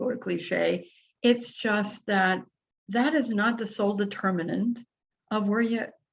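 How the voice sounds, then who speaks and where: At a fairly slow pace, a woman speaks in a somewhat breathy voice with a fairly high pitch. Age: 70s. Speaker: podcast host. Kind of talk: solo podcast monologue. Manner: casual, hesitant with fillers.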